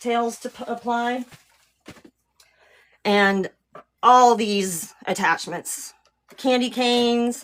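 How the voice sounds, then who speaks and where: A woman with a fairly high pitch speaks very slowly, leaving long, frequent pauses. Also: ordinary pitch variation. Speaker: wreath maker, craft tutorial creator. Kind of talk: live craft tutorial. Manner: casual, chatty.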